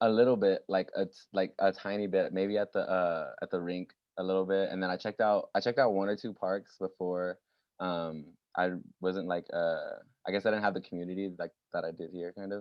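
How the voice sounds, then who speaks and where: Speaking at a fairly quick pace, a man with an American accent uses a fairly low pitch and monotone, flat intonation. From Texas, San Antonio. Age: 20s. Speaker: roller skater. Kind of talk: casual chat.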